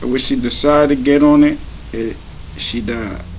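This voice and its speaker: Quiet speech with an American accent comes at a moderate pace with ordinary pitch variation, audible room echo and noticeable background noise. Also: man. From Maryland, US. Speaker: vlogger. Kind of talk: casual monologue.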